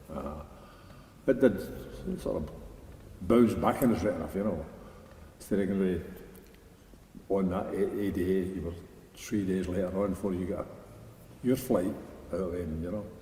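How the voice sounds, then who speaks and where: A very deep, low male voice with a Scottish accent, ordinary pitch variation, a moderate pace and long, frequent pauses. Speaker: army veteran. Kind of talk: interview answer. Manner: casual, anecdotal.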